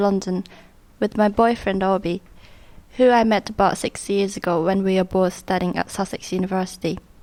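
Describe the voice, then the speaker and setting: Speaking at a moderate pace with a Japanese accent, a woman keeps a medium pitch and fairly even intonation. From Japan, Kyushu. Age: 20s. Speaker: community worker. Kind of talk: documentary narration.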